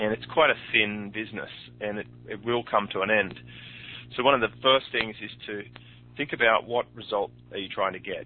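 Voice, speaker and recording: With an Australian accent, a man speaks at a moderate pace in a fairly low voice, using fairly even intonation and long, frequent pauses. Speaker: podcast host and online entrepreneur. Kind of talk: interview. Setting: phone call.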